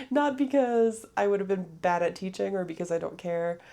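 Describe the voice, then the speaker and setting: A woman's dark, mellow voice at a moderate pace. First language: French. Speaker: podcaster. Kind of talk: casual monologue. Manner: hesitant, many fillers.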